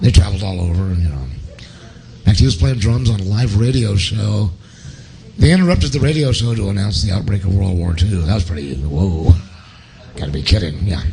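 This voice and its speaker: With an American accent, a man speaks at a fairly quick pace in a very deep, low pitch with lively intonation. Noticeable background noise is present. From Portland, Oregon. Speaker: guitarist. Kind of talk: interview. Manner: animated.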